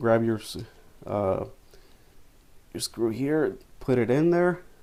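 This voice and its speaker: This man's voice sits at a medium pitch. He talks at a fairly slow pace. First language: not English. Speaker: photographer. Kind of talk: tutorial. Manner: halting, many fillers and repeats; casual.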